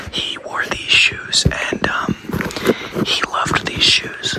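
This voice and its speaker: A man whispering at a fairly slow pace with an American accent, over noticeable background noise. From United States. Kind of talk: improvised ASMR thrift store roleplay, casual talk to camera. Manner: casual, joking, deadpan, with fillers.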